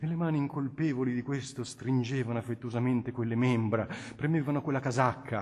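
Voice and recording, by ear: Someone reads aloud here in a natural voice.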